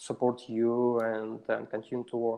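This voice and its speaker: A man with a Russian accent at a moderate pace. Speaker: software developer. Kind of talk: interview. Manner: halting, many fillers.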